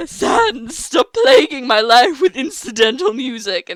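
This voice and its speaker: Put-on character voice, high in pitch, at a fairly slow pace. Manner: overdramatic, theatrical, loud.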